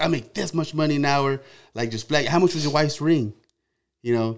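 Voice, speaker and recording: On a very clean recording with a silent background, a man with a fairly high pitch and ordinary pitch variation speaks at a fairly quick pace in a plain, everyday voice. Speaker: truck show organizer. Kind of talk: casual chat.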